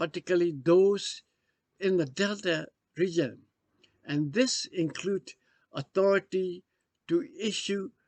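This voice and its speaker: Long, frequent pauses in a man's speech at a very slow pace. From Burma. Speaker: former foreign affairs official. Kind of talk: history talk.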